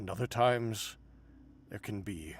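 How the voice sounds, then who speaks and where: Using a put-on character voice, a man speaks in a calm tone at a moderate pace and fairly low pitch over clear background noise. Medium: actual play. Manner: calm, measured, contemplative.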